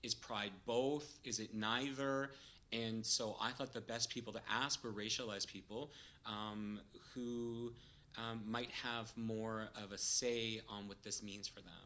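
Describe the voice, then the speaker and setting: At a fairly slow pace, a man with a Canadian accent speaks at a medium pitch in a bright, sharp tone with monotone, flat intonation. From Canada, Toronto. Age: 40s. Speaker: PhD researcher in kinesiology. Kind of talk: podcast interview. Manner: hesitant, many filler words.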